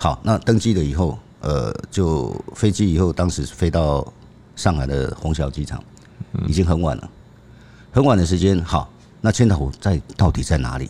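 The man's voice is very deep and low. He keeps a moderate pace. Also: lively intonation. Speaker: veteran crime reporter, co-host. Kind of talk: storytelling in conversation.

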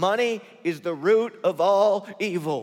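Using a put-on character voice, a man speaks at a high pitch and a fairly slow pace. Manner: declaiming, sermonizing.

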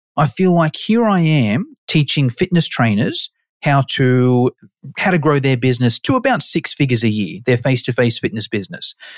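The speaker is a man. He talks in an Australian accent. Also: dry, close sound with no echo. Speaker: personal trainer and online course educator. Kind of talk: casual interview chat.

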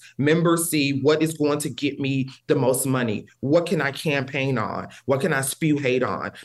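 A man's plain, everyday voice with an American accent, fairly high in pitch, at a moderate pace with fairly even intonation and hardly any pauses. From Texas, near the Louisiana border. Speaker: policy advisor. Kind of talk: interview.

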